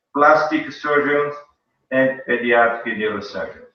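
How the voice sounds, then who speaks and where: With a Brazilian accent, a man talks at a moderate pace and a fairly high pitch, with audible room echo. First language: Portuguese. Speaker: pediatric neurosurgeon. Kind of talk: conference lecture and Q&A. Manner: halting.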